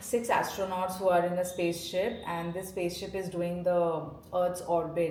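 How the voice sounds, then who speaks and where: Noticeable background noise, audible room echo, and a fairly slow delivery. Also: woman. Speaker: lifestyle vlogger. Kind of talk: casual vlog narration. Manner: hesitant, many fillers.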